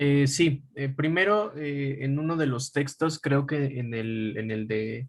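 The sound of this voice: Slowly, a man talks at a medium pitch with ordinary pitch variation.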